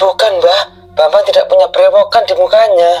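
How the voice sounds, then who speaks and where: A man speaks in a put-on character voice at a moderate pace. Music plays in the background. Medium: read story.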